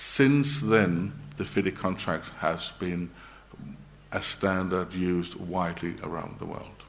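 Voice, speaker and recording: With a Danish accent and a very deep, low voice, a man talks very slowly with ordinary pitch variation amid audible room echo. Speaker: engineer and project director. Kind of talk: conference presentation. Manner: halting.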